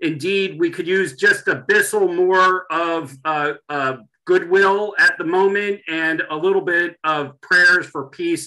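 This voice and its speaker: High-pitched male voice with a bright, sharp tone, fairly even intonation and a very slow pace, against a quiet background. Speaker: webinar host. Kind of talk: event introduction. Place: home room. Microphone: video call.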